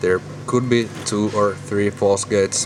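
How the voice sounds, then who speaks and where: Fairly low-pitched male voice with a Finnish accent, fairly slow pace and fairly even intonation over music in the background. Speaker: lock hobbyist. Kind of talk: tutorial. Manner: halting.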